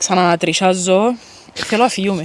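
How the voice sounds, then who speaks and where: Over noticeable background noise, a woman talks at a medium pitch with a Cypriot accent. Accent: Cypriot Greek. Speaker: paranormal investigator. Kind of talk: casual chat. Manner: halting.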